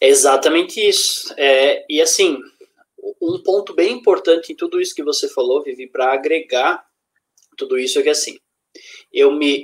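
Fairly slow speech from a man, broken by long, frequent pauses. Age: 20s. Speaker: self-development speaker. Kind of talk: casual live-stream chat.

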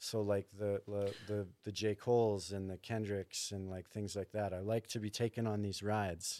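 Speaking at a moderate pace with monotone, flat intonation, a man with a Canadian accent has a dark, mellow tone in a very clean, silent recording that is dry and close with no echo. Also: fairly low pitch for a man, hardly any pauses. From Canada, Thunder Bay, Ontario. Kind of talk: casual chat.

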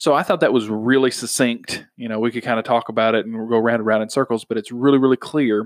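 The speech comes at a very fast pace with hardly any pauses. The intonation stays fairly even. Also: man, medium pitch for a man. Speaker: podcast host. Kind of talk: casual chat about faith. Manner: conversational, informal.

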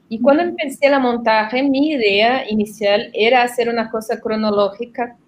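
With a Portuguese accent, a woman talks at a fairly slow pace and with fairly even intonation. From southern Brazil, Porto Alegre. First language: Portuguese (speaking Spanish). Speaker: documentary film director. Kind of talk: interview.

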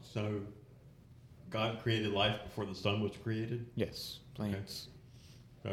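In a room with audible echo, a somewhat breathy man speaks at a moderate pace with a fairly low pitch and monotone, flat intonation. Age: 40s. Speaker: church youth leader. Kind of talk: casual group discussion. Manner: hesitant, many fillers.

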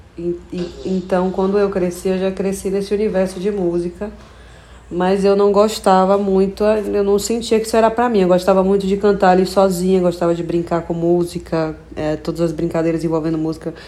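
A woman talks in a medium pitch with monotone, flat intonation. She keeps a moderate pace. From Brazil, Bahia (Feira de Santana). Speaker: singer. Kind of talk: interview.

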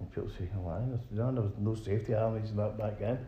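Talking in a Glaswegian accent at a moderate pace, a man with a fairly low pitch sounds somewhat breathy, with a dark, mellow tone and audible room echo. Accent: Glaswegian Scottish. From Scotland, Glasgow. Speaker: brain injury survivor. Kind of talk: interview.

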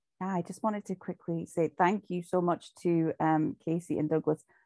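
A woman with a Shetland accent speaks at a moderate pace in a fairly low, dark, mellow voice with fairly even intonation, recorded dry and close with no echo against a quiet background. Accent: Shetland Scottish. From Shetland, Scotland. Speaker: recovery group member. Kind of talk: sharing testimony. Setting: video call.

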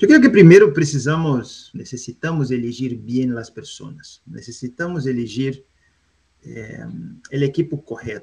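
A man with a Brazilian accent speaks at a fairly slow pace, somewhat breathy, with big swings in loudness. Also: medium pitch for a man, ordinary pitch variation. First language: Portuguese (speaking Spanish). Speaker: industrial gas company executive. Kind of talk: panel discussion. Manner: mixes Portuguese and Spanish.

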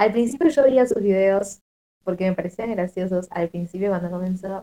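A woman speaks at medium pitch and a moderate pace with ordinary pitch variation. Her tone is dark and mellow. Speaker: podcast panelist. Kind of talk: casual chat. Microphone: quiet, low volume.

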